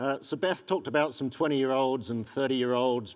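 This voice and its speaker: Speaking at a very fast pace with an English accent, a man keeps a medium pitch and ordinary pitch variation. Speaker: economic development consultant. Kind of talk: conference presentation.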